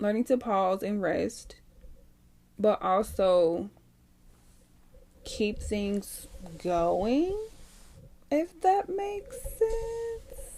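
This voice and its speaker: A woman in a Southern US accent, very slow pace, long and frequent pauses. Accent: Southern US country twang. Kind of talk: podcast talk. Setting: home microphone, unedited. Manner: reflective, hesitant, unscripted.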